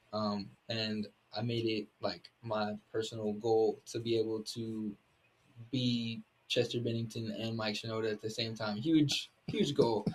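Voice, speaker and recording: A man speaks at a fairly slow pace in a somewhat breathy, monotone voice with flat intonation. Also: medium pitch for a man. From Arkansas, Little Rock. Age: 20s. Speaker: musician. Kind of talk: interview. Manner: halting.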